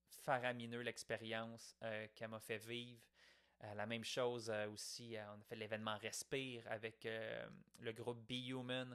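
In a Quebec accent, a man talks at a fairly slow pace with monotone, flat intonation. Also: medium pitch for a man. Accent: Québécois French. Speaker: podcaster. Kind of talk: reflective monologue. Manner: casual, conversational.

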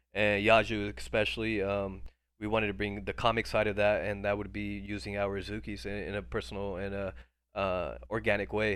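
A man with a fairly low voice shows vocal fry and lively intonation. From India, moved to US at age three. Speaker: entrepreneur and Web3 project creator. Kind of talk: casual chat. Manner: animated; fast, with many fillers and restarts.

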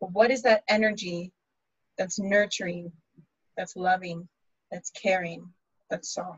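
A woman's medium-pitched voice is somewhat breathy, with fairly even intonation. Her loudness swings widely. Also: fairly slow pace. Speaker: podcast host. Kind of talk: casual chat with astrology talk.

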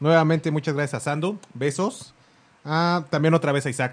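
An unremarkable speaking voice moves along at a fairly quick pace. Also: man. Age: 20s. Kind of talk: casual chat.

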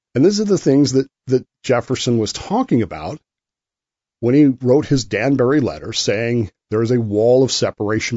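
A man speaks at a moderate pace in an unremarkable speaking voice, medium in pitch, with lively intonation. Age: 50s. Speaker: podcast host. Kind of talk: solo monologue commentary.

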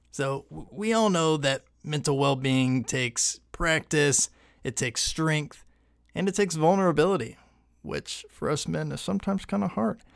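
Using an ordinary speaking voice, a man keeps a moderate pace and ordinary pitch variation. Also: very clean recording, silent background. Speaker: podcast co-host. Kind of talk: casual chat.

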